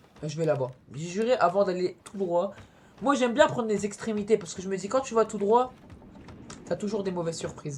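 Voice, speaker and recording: Amid noticeable background noise, a woman speaks in an animated tone with lively intonation, big swings in loudness and long, frequent pauses. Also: medium pitch for a woman, fairly quick pace. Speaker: gaming youtuber. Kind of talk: let's play commentary. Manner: fast.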